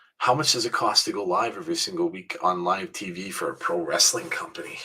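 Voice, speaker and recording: Over noticeable background noise, the voice races along at a very fast pace with very wide pitch swings. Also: man, medium pitch for a man. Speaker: wrestling commentary show host. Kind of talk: live commentary. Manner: soft-spoken; loud.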